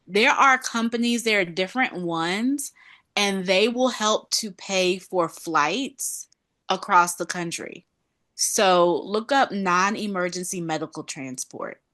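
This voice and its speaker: Against a quiet background, a woman with a Southern US accent speaks at a very slow pace, her bright, sharp tone carrying lively intonation. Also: medium pitch for a woman. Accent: Southern US accent, noticeable. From North Carolina. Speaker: panelist, patient family member. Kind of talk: online group discussion.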